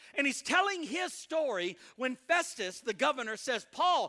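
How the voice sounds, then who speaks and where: A man's raised, projected voice with an American accent, bright and sharp in tone, with lively intonation at a moderate pace. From US South, Mississippi. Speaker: guest preacher. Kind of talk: sermon. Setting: church. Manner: animated.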